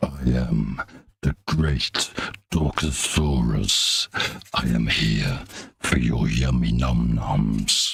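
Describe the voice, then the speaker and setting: A man's put-on character voice, very deep and low and very slow. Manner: comically boastful.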